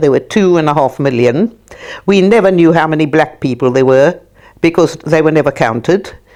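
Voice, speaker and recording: Her pitch very deep and low, a woman talks at a moderate pace with lively intonation. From South Africa. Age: 80s+. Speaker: socialist activist. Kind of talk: documentary interview. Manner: halting.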